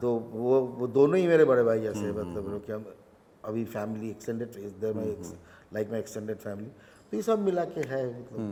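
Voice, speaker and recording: Pitch rises and falls in an ordinary way. The pace stays moderate. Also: man, medium pitch for a man. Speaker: actor. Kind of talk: interview answer.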